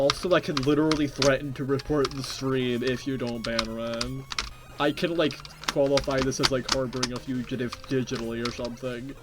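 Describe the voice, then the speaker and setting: A fairly quick delivery amid noticeable background noise. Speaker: video game streamer. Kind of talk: casual live stream chat. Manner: animated.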